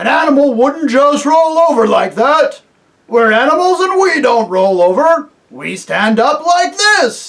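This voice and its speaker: The speaker uses a put-on character voice with a high pitch. The pace is fairly slow. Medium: read story.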